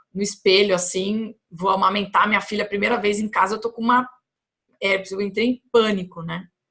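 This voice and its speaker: A woman speaks in an ordinary speaking voice at medium pitch and a moderate pace, her intonation fairly even. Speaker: health educator. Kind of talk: vlog monologue. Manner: conversational, with fillers and repetitions.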